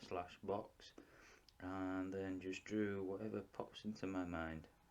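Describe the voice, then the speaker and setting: Very slow speech from a man with a Yorkshire accent and a fairly low pitch. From Yorkshire, northern England. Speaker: artist. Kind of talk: tutorial. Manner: casual.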